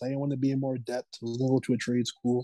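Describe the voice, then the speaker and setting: A dark, mellow tone moves at a very fast pace, the sound dry and close with no echo against a quiet background. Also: man. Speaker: rapper and photographer. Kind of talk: casual interview chat. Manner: laid-back, casual.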